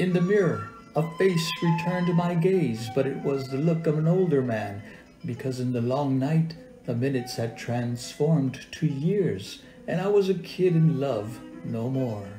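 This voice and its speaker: Music plays behind a man speaking fairly slowly in an American accent. His voice is fairly high, with lively intonation. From deep South Texas. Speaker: poet, writer and actor. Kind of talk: poetry reading.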